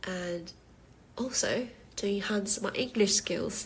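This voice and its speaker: At a very slow pace, a woman speaks in a somewhat breathy, medium-pitched voice with ordinary pitch variation. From South Korea, Jeju Island. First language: Korean. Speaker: podcast host. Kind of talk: casual monologue. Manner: halting, with fillers.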